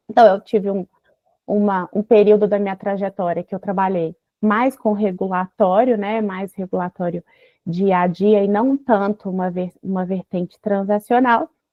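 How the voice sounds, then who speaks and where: In a Minas Gerais accent, a woman speaks at a moderate pace in a medium-pitched voice with fairly even intonation. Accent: Minas Gerais Brazilian Portuguese. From Brazil, Minas Gerais. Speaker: mining lawyer. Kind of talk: online seminar talk.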